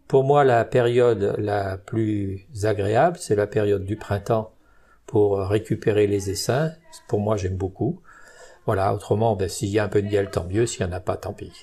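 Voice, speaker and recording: Somewhat breathy, a man speaks fairly low in pitch with a dark, mellow tone. His pitch variation is ordinary, and his pace fairly slow. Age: 70s. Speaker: beekeeper. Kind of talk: interview. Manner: hesitant.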